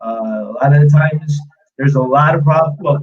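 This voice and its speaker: A man speaks with a slight American accent and fairly even intonation. His voice is somewhat breathy. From US, New York. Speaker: street art tour guide. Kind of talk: live stream interview. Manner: hesitant, many filler sounds and repeats.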